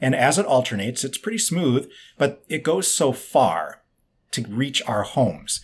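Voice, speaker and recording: At a moderate pace, a man with a medium-pitched voice and vocal fry swings very widely in pitch. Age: 40s. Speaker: biohacking author and expert. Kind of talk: interview conversation. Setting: remote video call.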